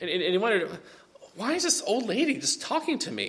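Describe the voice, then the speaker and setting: Noticeable background noise and audible room echo fill the recording. A man speaks with very wide pitch swings. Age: 30s. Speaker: pastor. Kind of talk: sermon.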